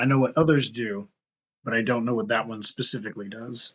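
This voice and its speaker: A man performs a put-on character voice, raspy and medium in pitch. He delivers it at a fairly quick pace. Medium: actual play.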